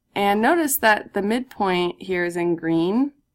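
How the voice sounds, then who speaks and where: A woman with a normal speaking voice talks at a fairly slow pace with lively intonation. The recording is very clean, with a silent background. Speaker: math teacher. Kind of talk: recorded lesson tutorial.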